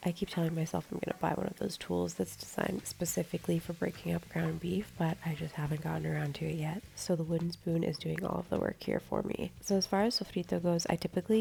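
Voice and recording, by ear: A woman talks fast with vocal fry and a nasal quality, her fairly low pitch carrying a dark, mellow tone and fairly even intonation. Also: few pauses.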